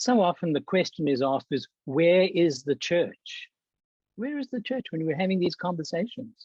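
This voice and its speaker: With a South African accent, a man speaks at a high pitch and a moderate pace, his intonation lively. The sound is dry and close with no echo. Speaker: church health ministries leader and physician. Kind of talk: conference talk.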